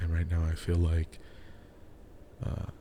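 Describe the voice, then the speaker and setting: A quiet man's very deep, low voice at a moderate pace. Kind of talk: casual talk to camera. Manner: quiet, with pauses.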